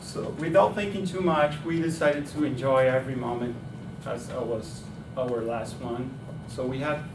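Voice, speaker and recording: A man talks at a moderate pace in a medium pitch with ordinary pitch variation. There is noticeable background noise and audible room echo. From Brazil. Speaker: club speaker. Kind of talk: prepared speech. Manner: hesitant with fillers.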